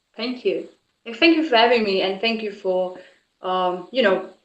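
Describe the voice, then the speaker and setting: At a moderate pace, a woman talks with a non-native accent. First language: not English. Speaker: author and film producer. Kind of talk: casual interview chat.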